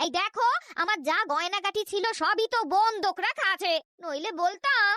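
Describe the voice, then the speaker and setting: This female-sounding cartoonish character voice has an extremely high pitch and a moderate pace. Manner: homely, affectionate, sprinkled with "go".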